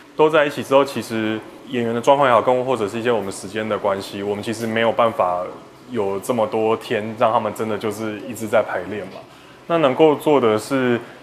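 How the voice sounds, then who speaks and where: At a fairly quick pace, a man speaks through noticeable background noise. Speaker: film director. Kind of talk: interview.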